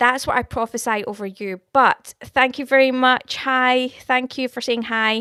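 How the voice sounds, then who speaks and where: In a very clean recording with a silent background and a dry, close sound with no echo, a woman with a Scottish accent speaks at a high pitch in a bright, sharp tone, at a fairly slow pace with fairly even intonation and hardly any pauses. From Scotland. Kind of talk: live stream chat with viewers, prophecy. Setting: live stream. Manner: casual, warm, conversational.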